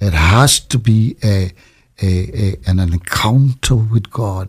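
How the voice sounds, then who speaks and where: A somewhat breathy man's voice, fairly low in pitch, with ordinary pitch variation, in a very clean recording with a silent background. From Trinidad. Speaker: pastor. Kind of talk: interview.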